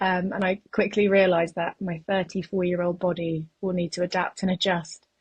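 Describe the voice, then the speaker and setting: Somewhat breathy speech from a woman with a British accent, medium in pitch and monotone in intonation, at a moderate pace with hardly any pauses. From England (moved from Uzbekistan at ten). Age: 30s. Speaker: soldier and trainee nurse, ultrarunner. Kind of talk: podcast interview.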